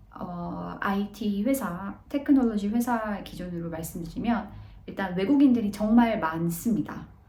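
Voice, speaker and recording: With audible room echo, a woman of medium pitch speaks at a fairly slow pace with ordinary pitch variation. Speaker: vlogger, office worker abroad. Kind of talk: casual vlog talk. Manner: hesitant, many fillers.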